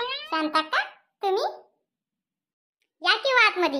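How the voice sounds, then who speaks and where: In a cartoonish character voice, a woman squeaks at an extremely high pitch, swinging very widely up and down. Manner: polite, respectful.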